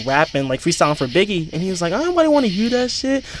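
A man speaks with music in the background. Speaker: podcast co-host. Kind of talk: casual chat. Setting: outdoors.

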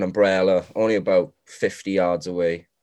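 Here a man talks with a South Wales accent. His pitch is fairly low. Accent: South Wales (Swansea). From Wales, Morriston, Swansea. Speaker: assistant golf professional. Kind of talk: casual chat.

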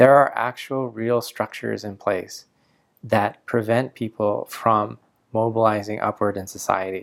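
It is a plain, everyday voice. A man speaks at a fairly low pitch and a fairly slow pace. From Canada. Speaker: pastor. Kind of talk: sermon.

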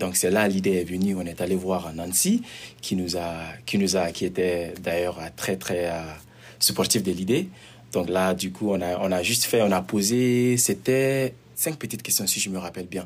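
A man speaks with a very deep, low pitch. His pace is moderate and his pitch variation ordinary. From Mali. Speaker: community worker. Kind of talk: interview.

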